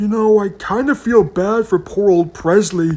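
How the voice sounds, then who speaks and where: In a put-on character voice, the speaker talks at a moderate pace with a fairly high pitch. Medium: read story.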